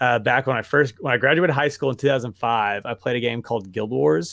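A man with a Southern US accent talks at a moderate pace and a medium pitch. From Arkansas, US South. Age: 30s. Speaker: personal trainer. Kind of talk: casual chat.

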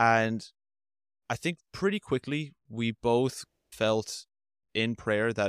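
In a very clean recording with a silent background and a dry, close sound free of echo, a man with an Irish accent speaks at a very slow pace. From Ireland, Limerick. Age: 30s. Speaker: automation integrator, podcast guest. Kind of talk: interview, personal faith testimony.

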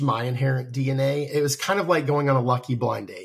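Talking at a fairly quick pace, a man with an American accent has a fairly high pitch and a somewhat breathy voice. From US South. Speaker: tech company CEO. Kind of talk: interview.

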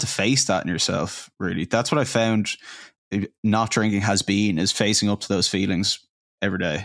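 A man speaks with an Irish accent at a fairly low pitch, his loudness very even and the sound dry and close with no echo. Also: very clean recording, silent background. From Ireland. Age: 20s. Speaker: podcast host. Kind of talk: casual interview chat.

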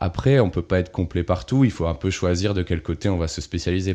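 Over a quiet background, a man with a very deep, low pitch and a dark, mellow tone speaks at a moderate pace. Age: 20s. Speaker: interface designer. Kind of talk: interview. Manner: casual, with many hesitations.

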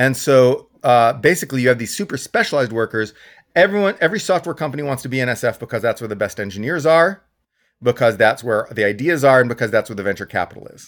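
A man with an American accent and a medium pitch speaks at a very fast pace with lively intonation and big swings in loudness, captured in a very clean recording with a silent background. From Texas. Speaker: economist and blogger. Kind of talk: casual interview.

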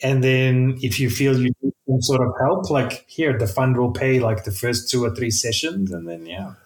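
At a moderate pace and a medium pitch, a man speaks with hardly any pauses. His voice is somewhat breathy. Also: ordinary pitch variation. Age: 40s. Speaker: software developer. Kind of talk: casual chat.

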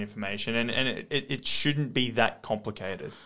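This voice comes with an Australian accent. Nothing can be heard behind it but quiet. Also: man. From Australia, Western Sydney. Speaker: podcast host, property investor. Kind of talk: casual interview chat.

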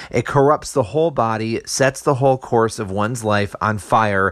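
The recording is very clean, with a silent background. A man speaks at medium pitch and a moderate pace, with ordinary pitch variation. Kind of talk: impassioned rant / sermon-like commentary. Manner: emphatic, indignant, pleading for unity.

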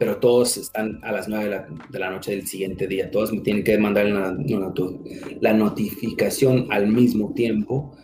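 Music plays in the background, and there is audible room echo. A man with a fairly low pitch talks at a moderate pace with fairly even intonation. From California, raised from toddler in US, born Mexico. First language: English (speaking Spanish). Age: young. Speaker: security manager and military veteran. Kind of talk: interview. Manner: halting.

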